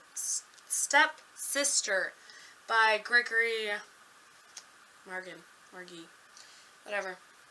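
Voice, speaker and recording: A woman's raised, projected voice with lively intonation at a fairly slow pace. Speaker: book vlogger. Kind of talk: casual chat.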